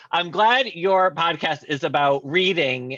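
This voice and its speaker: A man at high pitch, with noticeable background noise. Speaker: author. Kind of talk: casual interview. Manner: animated.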